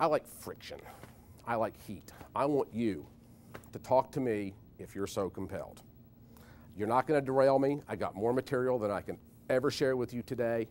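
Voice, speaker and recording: A man at medium pitch with ordinary pitch variation and long, frequent pauses. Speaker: publicity speaker and radio host. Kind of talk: conference talk. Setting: stage with audience. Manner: fast; animated.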